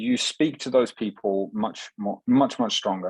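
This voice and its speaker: In an English accent, the man's speech moves at a moderate pace. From England. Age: 30s. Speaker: fitness coach. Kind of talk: podcast interview. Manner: halting.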